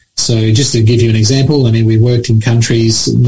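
With fairly even intonation, a man speaks in an Australian accent. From Australia (Sydney), born in Mauritius. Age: 60s. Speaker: charity leader. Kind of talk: radio interview.

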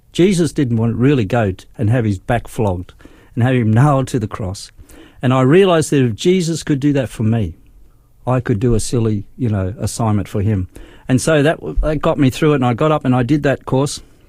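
Speaking with an Australian accent, a man has a medium-pitched, dark, mellow voice. His intonation is lively and his pace fairly quick. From Australia, Darwin. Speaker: nurse and lay church leader. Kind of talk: testimony.

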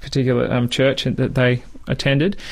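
Someone talks at a very fast pace with an Australian accent. The intonation stays fairly even over noticeable background noise. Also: man. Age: 30s. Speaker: Bible teacher. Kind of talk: radio interview. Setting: studio.

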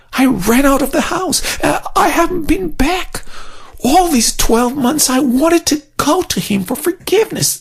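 The speaker uses a put-on character voice. The delivery is moderately paced. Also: man.

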